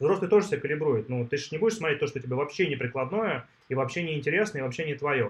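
The voice races along at a very fast pace with lively intonation. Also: man. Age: 40s. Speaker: tech entrepreneur. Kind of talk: interview.

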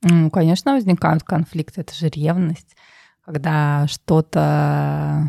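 In a dry, close sound with no echo, a woman with a very deep, low pitch and a dark, mellow tone speaks at a very slow pace. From Russia, Tver. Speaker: finance manager at a luxury brand. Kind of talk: interview. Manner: hesitant, many fillers.

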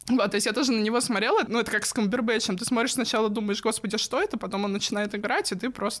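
Against noticeable background noise, a woman speaks very fast at a fairly high pitch, with hardly any pauses. Her loudness stays very even and her intonation fairly even. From Russia, Tula. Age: late 20s or 30. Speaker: pop culture fan sharing personal story. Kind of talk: casual interview, personal story. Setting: studio.

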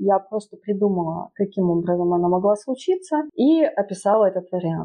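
A woman in a plain, everyday voice, medium in pitch, with lively intonation. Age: 20s. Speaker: writer and photographer. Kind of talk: casual chat.

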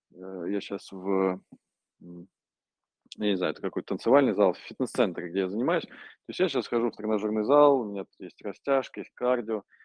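With long, frequent pauses at a moderate pace, a man speaks in a fairly low pitch with ordinary pitch variation and big swings in loudness. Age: 30s. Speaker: parkour pioneer and gear manufacturer. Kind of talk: interview. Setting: remote call from a gym.

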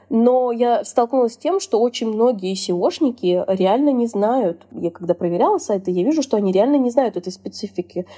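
This woman's voice is fairly high-pitched, with a dark, mellow tone. She speaks at a moderate pace with lively intonation. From Russia. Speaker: SEO specialist. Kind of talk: interview. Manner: casual.

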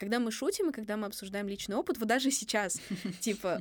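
Speaking at a very fast pace, a woman with a fairly high pitch uses ordinary pitch variation in a very clean recording with a silent background. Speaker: podcast co-host, university student. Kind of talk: casual chat.

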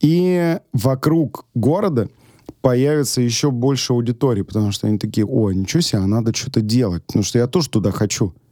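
Talking at a fairly quick pace, a man with a medium pitch and a dark, mellow tone uses lively intonation and very even loudness. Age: 30s. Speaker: restaurateur and chef. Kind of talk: casual chat. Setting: studio. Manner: casual, filler-heavy speech.

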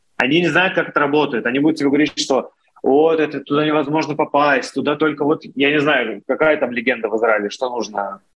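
Very fast speech from a man with a fairly high pitch. His pitch varies in an ordinary way and his loudness stays very even. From Russia. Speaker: founder of a tech community channel. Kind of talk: interview conversation.

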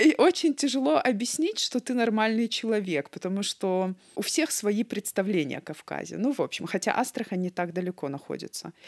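A woman speaks at a moderate pace with hardly any pauses and very wide pitch swings, in a dry, close sound with no echo. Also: medium pitch for a woman. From North Ossetia, Vladikavkaz. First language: Ossetian (bilingual with Russian) (speaking Russian). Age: 30s. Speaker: cardiac surgeon. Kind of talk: interview.

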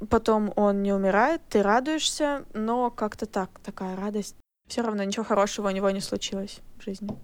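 A woman's medium-pitched, normal speaking voice, with ordinary pitch variation, a moderate pace and a very clean recording over a silent background. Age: 20s. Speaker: podcast guest, recent graduate. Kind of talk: casual chat.

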